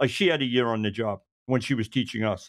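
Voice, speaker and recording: A man speaks in a Brooklyn accent. His intonation stays fairly even. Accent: New York (Brooklyn). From New York. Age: 50s. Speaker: retired police detective. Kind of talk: casual interview storytelling. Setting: video call, audio only. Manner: fast talker.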